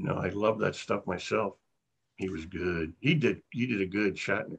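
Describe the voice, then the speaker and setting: This man's voice sits fairly low in pitch and comes across somewhat breathy. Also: ordinary pitch variation, moderate pace. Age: 60s. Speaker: actor. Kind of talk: casual chat.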